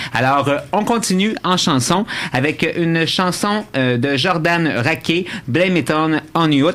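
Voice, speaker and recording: Amid noticeable background noise, a man speaks at a high pitch with very even loudness. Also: ordinary pitch variation. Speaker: radio host. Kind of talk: radio show chat. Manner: fast.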